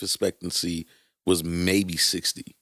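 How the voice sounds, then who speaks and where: Speaking with a New York accent is a man. The recording is very clean and dry, close, with a silent background and no echo. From New York City (Brooklyn). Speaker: podcast co-host. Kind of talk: casual chat.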